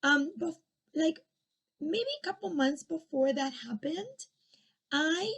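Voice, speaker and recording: A woman with a Spanish accent speaks at a fairly slow pace and a high pitch, using lively intonation and long, frequent pauses. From Argentina. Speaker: former education official and commentator. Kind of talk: personal commentary monologue. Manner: hesitant, with fillers and restarts.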